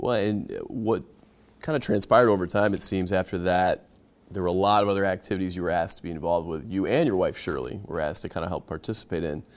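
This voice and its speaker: In a very clean recording with a silent background, a man with a very deep, low voice talks very fast with ordinary pitch variation. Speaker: podcast host. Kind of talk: interview, conversational.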